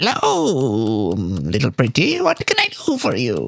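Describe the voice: A put-on character voice at a fairly slow pace over clear background noise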